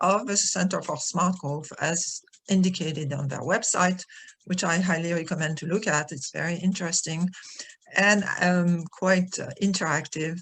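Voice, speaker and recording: A woman in a French accent, medium-pitched, at a fairly slow pace. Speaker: retired professor, architectural historian. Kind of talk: webinar presentation. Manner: hesitant, many fillers.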